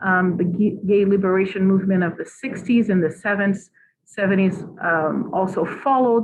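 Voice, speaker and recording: With a Portuguese accent, a woman speaks at medium pitch and with fairly even intonation. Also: moderate pace. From Brazil. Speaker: psychology professor. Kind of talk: academic presentation.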